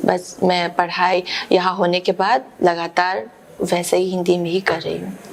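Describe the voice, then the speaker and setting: A woman with a Manipuri accent speaks at a fairly low pitch over noticeable background noise. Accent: Manipuri-accented Hindi. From Manipur, India. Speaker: theatre actor. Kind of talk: interview answer. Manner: hesitant, searching for words.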